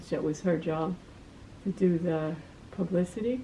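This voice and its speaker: A woman with an American accent speaks at a moderate pace in a somewhat breathy, dark, mellow tone, her pitch fairly low and her intonation fairly even. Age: 80s+. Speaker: retired community volunteer. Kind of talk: life story interview. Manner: halting.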